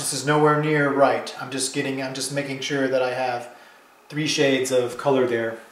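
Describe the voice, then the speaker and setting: In a room with audible echo and noticeable background noise, a man speaks in a monotone, flat intonation. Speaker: painter teaching his technique. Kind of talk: tutorial. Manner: fast; hesitant, many fillers and restarts.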